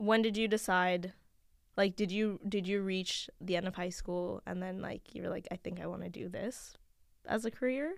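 Medium pitch from a woman in an unremarkable speaking voice, with fairly even intonation, a moderate pace, and big swings in loudness. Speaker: podcast host. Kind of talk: casual chat. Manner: friendly, laughs often.

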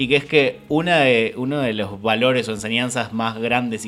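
Against noticeable background noise, the speaker uses fairly even intonation at a moderate pace in a Rioplatense accent. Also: man. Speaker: podcast host. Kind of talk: casual chat.

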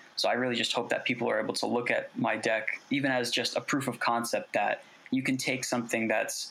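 Words come from a man at a very fast pace. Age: 20s. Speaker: artist. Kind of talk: interview.

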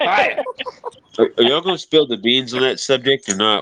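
Man at a medium pitch and moderate pace, noticeable background noise behind him

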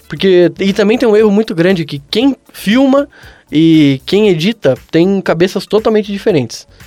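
Music plays in the background as a man speaks at a moderate pace, his pitch high and intonation lively. The sound is dry and close, with no echo. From Brazil, São José. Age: 20s. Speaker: comedian. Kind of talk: casual chat.

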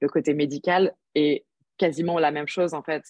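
Her voice is very deep and low for a woman, moving at a fairly slow pace with fairly even intonation. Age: 30s. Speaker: yoga teacher and nurse. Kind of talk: casual interview chat.

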